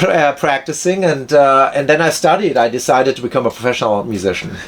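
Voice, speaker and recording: A man with a German accent speaks very fast in a fairly high voice, with lively intonation and very even loudness. Noticeable background noise sits behind him. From Germany. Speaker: violinist and film composer. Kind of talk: casual interview chat. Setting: in person, Santa Monica.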